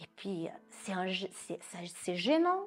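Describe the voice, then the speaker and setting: Speaking with a Brazilian accent, a woman keeps to a fairly slow pace. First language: Portuguese (speaking French). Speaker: psychoanalyst. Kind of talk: interview.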